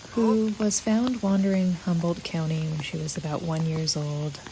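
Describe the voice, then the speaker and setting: A soft-spoken woman with a calm tone and lively intonation, talking at a fairly slow pace over noticeable background noise. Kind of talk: soft-spoken ASMR walking tour narration. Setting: outdoors in the rain, recorded on location. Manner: soft-spoken, calm.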